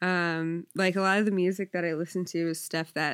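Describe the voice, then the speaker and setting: A woman with an American accent speaks at a moderate pace in a fairly low pitch, in an ordinary speaking voice. The recording is very clean, with a silent background. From South Jersey, US. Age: 20s. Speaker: bartender. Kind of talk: casual chat.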